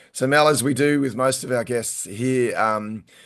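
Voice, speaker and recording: With an Australian accent, a man speaks over a quiet background. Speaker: podcast host and event MC. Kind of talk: casual chat. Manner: halting.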